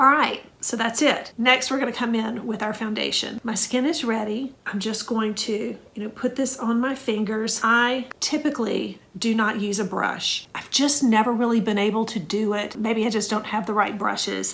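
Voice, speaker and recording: This woman's voice sits fairly high, with fairly even intonation. She hardly pauses, and there is noticeable background noise. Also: moderate pace. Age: 60s. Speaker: skincare content creator. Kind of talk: makeup tutorial talk to camera.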